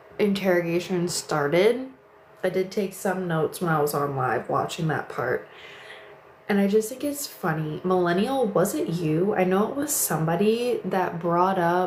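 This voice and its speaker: Noticeable background noise sits behind fairly slow speech. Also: woman. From Missouri, St. Louis. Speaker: live streamer. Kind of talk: casual live stream chat. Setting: livestream at home in bedroom.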